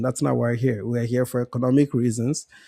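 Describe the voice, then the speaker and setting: A man with an African accent speaks in a dry, close sound with no echo. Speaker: panelist. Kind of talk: heated debate.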